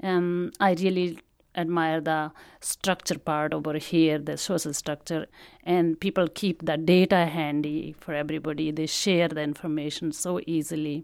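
Speaking at a moderate pace with an Indian accent, a woman uses a very deep, low pitch and a monotone, flat intonation, captured in a very clean recording with a silent background. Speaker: immigrant. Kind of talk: personal testimony.

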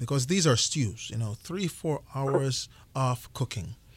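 A man with a Jamaican accent, somewhat breathy, at a fairly slow pace with lively intonation. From rural western Jamaica. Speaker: chef and restaurant owner. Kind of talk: radio interview. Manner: repeats words often.

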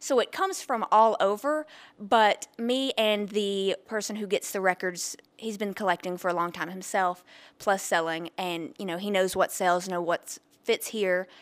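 A woman's plain, everyday voice at a medium pitch and moderate pace, with ordinary pitch variation. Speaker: record store owner. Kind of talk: interview. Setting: in her shop.

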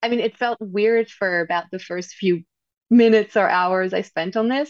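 A woman with a French accent speaks at a medium pitch with ordinary pitch variation, in a dry, close sound with no echo. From France. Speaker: novelist and journalist. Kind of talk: interview about her book.

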